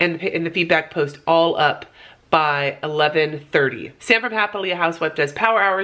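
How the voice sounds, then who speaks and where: A woman speaks at a moderate pace. Her tone is bright and sharp, with ordinary pitch variation. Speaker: vlogger. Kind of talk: casual vlog talk. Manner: sounds high energy.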